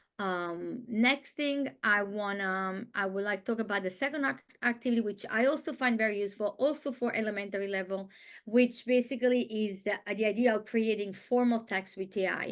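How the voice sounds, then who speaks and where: With an Italian accent, a woman speaks at a fairly high pitch, showing ordinary pitch variation and hardly any pauses. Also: fairly quick pace. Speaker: Italian language teacher. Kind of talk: webinar presentation. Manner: halting.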